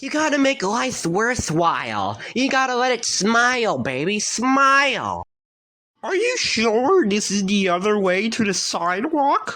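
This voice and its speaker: This cartoonish character voice sits at a fairly high pitch and moves at a fairly slow pace. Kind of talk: cartoon sound effects. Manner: goofy, bouncy.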